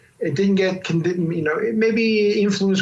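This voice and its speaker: Noticeable background noise surrounds a man whose pitch varies in an ordinary way. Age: 60s. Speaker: alternative medicine doctor and author. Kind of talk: interview. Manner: halting, with restarts.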